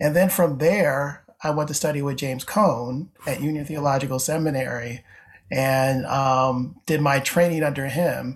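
Somewhat breathy and in an American accent, the speaker keeps a fairly even intonation at a moderate pace. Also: man, fairly high pitch for a man. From upstate New York (Syracuse). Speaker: theology professor. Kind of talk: interview conversation.

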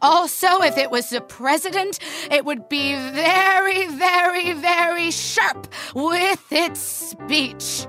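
Against clear background music, a woman in a put-on character voice speaks very slowly at an extremely high pitch. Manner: sharp, clipped speech.

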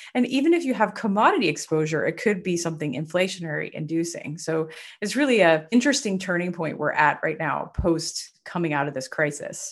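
Against a quiet background, a woman with an American accent talks at a fairly quick pace in a fairly low pitch with lively intonation. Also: hardly any pauses. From US South, Nashville, Tennessee. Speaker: investment strategist. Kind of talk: interview.

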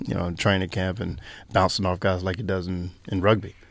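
In a very clean recording with a silent background, a man with a North Carolina accent speaks at a fairly quick pace in a very deep, low voice. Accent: Southern US (North Carolina). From US South, North Carolina. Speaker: Australian rules footballer, former basketball player. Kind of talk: interview.

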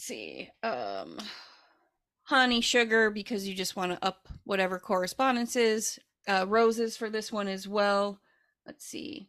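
Her voice an ordinary speaking voice, a woman speaks fairly slowly at a fairly high pitch, with ordinary pitch variation and big swings in loudness, on a very clean recording with a silent background. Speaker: podcast co-host and herbalist. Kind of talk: casual chat.

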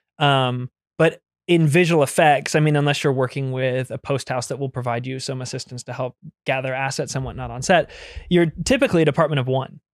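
In a very clean recording with a silent background, a man speaks at a fairly quick pace with an unremarkable speaking voice, medium pitch, and fairly even intonation. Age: 30s. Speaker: on-set VFX supervisor. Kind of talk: casual chat.

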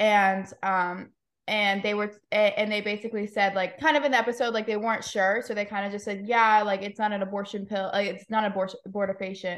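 A woman's medium-pitched voice, an ordinary speaking voice, at a fairly quick pace with hardly any pauses and fairly even intonation. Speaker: pro-life podcaster. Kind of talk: casual chat.

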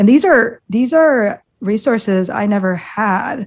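A woman speaks with an American accent at a fairly high pitch. Her intonation is lively. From US Midwest, Iowa. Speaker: executive team coach. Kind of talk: interview.

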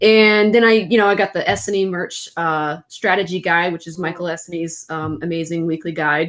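This woman has a plain, everyday voice, pitched fairly low, with ordinary pitch variation at a moderate pace. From Florida. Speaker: print on demand seller.

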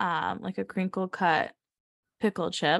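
Over a quiet background, a woman with an American accent talks at medium pitch and a fairly slow pace in a plain, everyday voice. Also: dry, close sound with no echo. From US South, Savannah, Georgia. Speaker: designer. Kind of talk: casual chat.

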